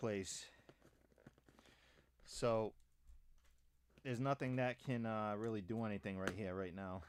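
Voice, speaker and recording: Here a man is speaking. His intonation is lively. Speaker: livestreamer. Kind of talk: casual live stream chat. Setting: home studio. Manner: loud.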